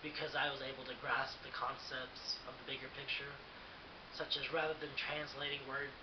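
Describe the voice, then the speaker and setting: With an American accent, a man talks at a fairly quick pace in a fairly high, monotone, flat voice, with audible room echo and noticeable background noise. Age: 20s. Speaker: student. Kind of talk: personal monologue. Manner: hesitant with fillers.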